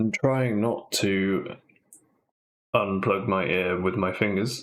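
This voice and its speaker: A soft-spoken man talks at a very slow pace and a fairly low pitch. His loudness stays very even, and his pitch varies in an ordinary way. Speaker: gaming streamer. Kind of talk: casual chat. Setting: live stream. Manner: halting. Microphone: far from the mic.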